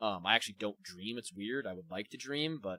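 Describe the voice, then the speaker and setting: A man's fairly low-pitched voice, bright and sharp in tone, at a moderate pace, with a dry, close sound and no echo. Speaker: live streamer. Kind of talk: casual live-stream chat, reading and answering viewer comments. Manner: stumbles over words, repeats syllables; hesitant, many fillers.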